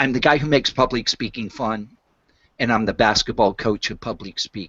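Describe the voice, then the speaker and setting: At a moderate pace, a man talks in a normal speaking voice with lively intonation. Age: 60s. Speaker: public speaking coach. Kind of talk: interview.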